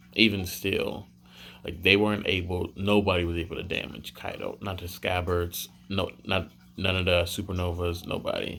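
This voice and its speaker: Quiet and monotone, a man speaks with a very deep, low pitch on a very clean recording with a silent background. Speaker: anime and manga reviewer. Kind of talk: casual video review. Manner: casual, filler-heavy.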